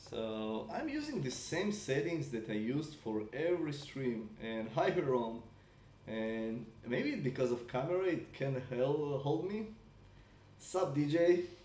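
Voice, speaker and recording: The speech moves at a fairly slow pace with lively intonation. Room echo is audible. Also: man, fairly high pitch for a man. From Russia. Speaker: mobile game streamer. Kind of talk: live gameplay stream chat. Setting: live stream on laptop.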